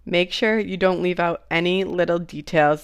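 Against a quiet background, a woman with an American accent speaks at a fairly low pitch with fairly even intonation. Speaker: podcast host.

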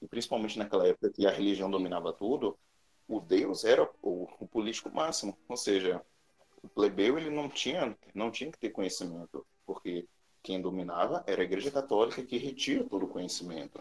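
With loudness that swings widely, a man talks at a fairly quick pace. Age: 20s. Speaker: podcast panelist. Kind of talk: casual chat.

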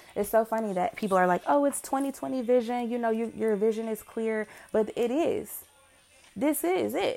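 Music plays in the background as a woman talks at a fairly quick pace. Her voice is fairly high, with lively intonation. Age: 30s. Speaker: podcast host and homeschooling parent. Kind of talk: solo voice journal monologue. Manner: casual, unscripted.

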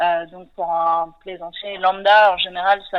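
A woman talks at a fairly slow pace. Her intonation stays monotone and flat. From western France (Nantes). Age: 30s. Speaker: sailor and ocean conservation project founder. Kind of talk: interview.

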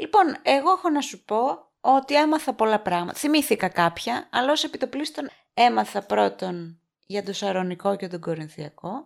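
A woman speaks with a fairly high pitch. Her voice makes very wide pitch swings. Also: moderate pace, very clean recording, silent background. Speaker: podcast co-host, quiz contestant. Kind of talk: casual chat.

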